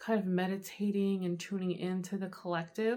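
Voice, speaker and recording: A woman speaks softly at a medium pitch. The recording is very clean, with a silent background. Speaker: tarot reader. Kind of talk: channeled tarot reading to camera. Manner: soft-spoken; casual with many fillers.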